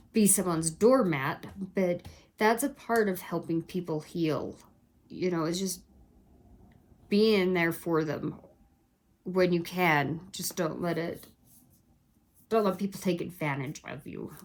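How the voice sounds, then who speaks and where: A woman at a fairly low pitch with vocal fry, ordinary pitch variation, and a fairly slow pace broken by long, frequent pauses. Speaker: tarot reader. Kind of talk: tarot reading. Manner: stumbling over words.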